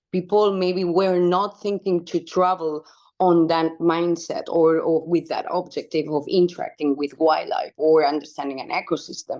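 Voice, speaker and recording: With a Spanish accent, a woman speaks at a moderate pace with hardly any pauses, using a fairly low pitch, a dark, mellow tone and fairly even intonation. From Spain (Barcelona). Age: 30s. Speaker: wildlife conservation activist. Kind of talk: interview conversation.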